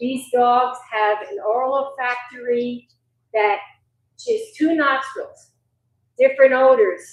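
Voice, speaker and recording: Pausing long and often, a woman speaks at a high pitch and a very slow pace with fairly even intonation. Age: 60s. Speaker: search and rescue dog handler. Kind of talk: community meeting presentation.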